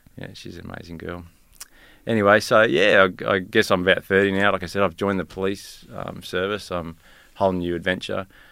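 Bright and sharp in tone yet very deep and low in pitch, a man speaks at a fairly quick pace with monotone, flat intonation and big swings in loudness. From Tasmania, Australia. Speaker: police officer. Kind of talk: casual interview. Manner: quiet, hesitant with many fillers.

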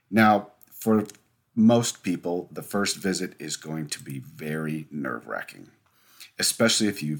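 A man speaks with a very deep, low pitch. His intonation is lively. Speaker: mental health podcast host. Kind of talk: solo educational monologue. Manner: fast.

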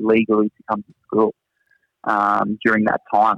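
At a moderate pace, a man with a strong Australian accent and a fairly low pitch speaks in a monotone, flat way. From Australia, Newcastle area. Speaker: teacher at international school. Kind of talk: casual interview. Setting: video call from Singapore.

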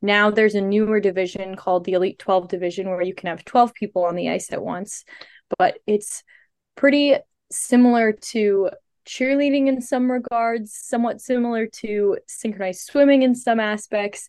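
A woman with an American accent, fairly high in pitch, at a moderate pace with ordinary pitch variation. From US Midwest, St. Louis, Missouri. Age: 20s. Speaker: synchronized skater and student. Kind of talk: casual interview.

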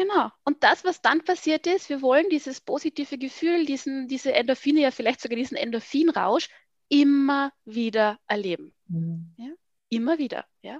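A woman's high-pitched voice with lively intonation, a dry, close sound with no echo. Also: moderate pace, big swings in loudness. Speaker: family communication expert. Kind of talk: casual interview.

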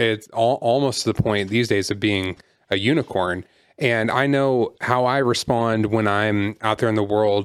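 On a very clean recording with a silent background, a man with an ordinary speaking voice talks at medium pitch and a fairly slow pace, with very even loudness and fairly even intonation. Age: 30s. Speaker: associate pastor and podcast co-host. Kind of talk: casual chat.

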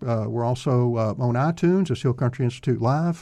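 This man has a plain, everyday voice and an American accent. He talks at a fairly quick pace with ordinary pitch variation. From Texas (Greenville). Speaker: radio host. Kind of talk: interview; radio announcement. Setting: studio.

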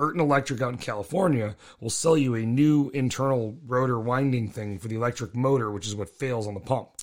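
A man talks at a fairly quick pace with hardly any pauses and ordinary pitch variation. He has a plain, everyday voice. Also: medium pitch for a man. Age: 40s. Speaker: podcast host, car enthusiast. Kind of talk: casual chat.

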